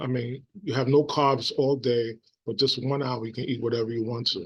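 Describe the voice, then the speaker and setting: A man speaks with fairly even intonation. His voice is somewhat breathy. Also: medium pitch for a man, moderate pace. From New York City. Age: 60s. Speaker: vlogger, former teacher. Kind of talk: casual vlog monologue. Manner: halting, many fillers.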